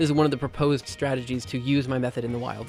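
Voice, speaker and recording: Music plays behind a man who talks very fast at a medium pitch. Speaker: streamer. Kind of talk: live stream casual chat. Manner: animated.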